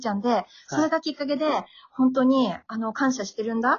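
Speaking with an Akita accent, a woman moves at a fairly quick pace. Her pitch varies in an ordinary way. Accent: Akita dialect (Akita-ben). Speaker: podcaster promoting Akita dialect. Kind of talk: casual chat.

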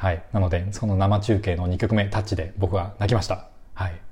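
A man speaks at a fairly quick pace with a fairly low pitch. His dark, mellow tone is somewhat breathy. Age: 30s. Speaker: music fan podcaster. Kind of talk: casual solo talk. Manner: halting, many fillers.

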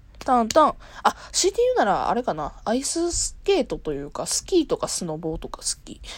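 A woman's fairly quick speech with big swings in loudness. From Kansai, Japan. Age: 20s. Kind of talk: solo casual talk. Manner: casual, frequent laughter.

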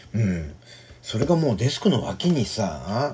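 A man talks at a fairly slow pace with very wide pitch swings. Noticeable background noise runs underneath. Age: 40s. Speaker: podcaster. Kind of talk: casual monologue. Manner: halting, many fillers.

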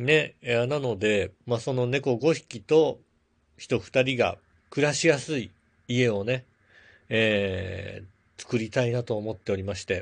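An ordinary speaking voice from a man at medium pitch, fairly slow pace and ordinary pitch variation, over a quiet background. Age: 40s. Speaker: podcast host and blogger. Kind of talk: casual solo talk. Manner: filler-heavy, relaxed.

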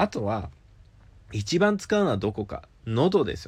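A fairly slow-paced man's voice with vocal fry and very wide pitch swings. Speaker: app radio show host. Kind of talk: solo talk monologue.

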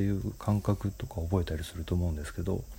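With ordinary pitch variation, the man's voice comes out somewhat breathy. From Japan, Nagoya. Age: 40s. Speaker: podcaster. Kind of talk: solo monologue. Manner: halting, many fillers.

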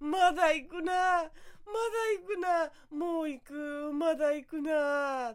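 A high-pitched put-on character voice at a very slow pace. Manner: playful; joking.

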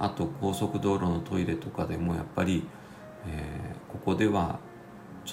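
Very deep and low in pitch, a man speaks at a moderate pace with ordinary pitch variation, audible room echo and noticeable background noise. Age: 50s. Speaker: podcaster and civil engineer. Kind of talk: casual solo talk. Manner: hesitant, many fillers.

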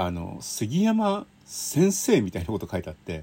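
This man's tone is dark and mellow, with some breathiness. His intonation moves in a lively way. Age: 50s. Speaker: railway writer. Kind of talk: casual monologue. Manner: chatty with laughter.

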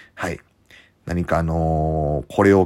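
On a very clean recording with a silent background, a man with a very deep, low pitch speaks at a very slow pace with ordinary pitch variation. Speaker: professional wrestler. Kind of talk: casual monologue. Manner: hesitant fillers.

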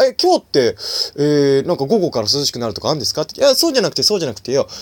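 A man's very fast speech, dry and close with no echo. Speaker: solo podcaster and comedian. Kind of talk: casual solo monologue. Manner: halting, many fillers; cheerful, laughing.

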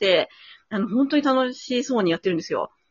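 Her voice is somewhat breathy as this woman talks at a very fast pace. The pitch swings very widely. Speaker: violinist and podcast co-host. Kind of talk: casual chat. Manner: hesitant, many fillers; lively.

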